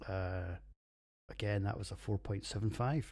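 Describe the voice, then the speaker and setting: A man with a Scottish accent at a moderate pace, on a very clean recording with a silent background. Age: 40s. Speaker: podcast host, beer reviewer. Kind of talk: casual monologue podcast. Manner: animated.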